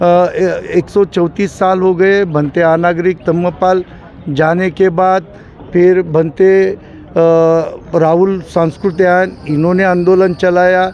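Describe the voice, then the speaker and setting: Through noticeable background noise, a man speaks at a high pitch with monotone, flat intonation. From Maharashtra, India. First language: Marathi (speaking Hindi). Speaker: Buddhist protester. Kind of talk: street interview. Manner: halting.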